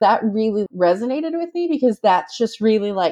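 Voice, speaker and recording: At a moderate pace over a quiet background, a plain, everyday voice talks with ordinary pitch variation. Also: woman. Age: 40s. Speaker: mother with ADHD and OCD. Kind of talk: casual chat.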